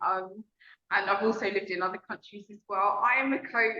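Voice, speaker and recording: A woman speaks with a London accent. Her pitch varies in an ordinary way. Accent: London British. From London, England. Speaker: relationship coach. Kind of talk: casual interview chat.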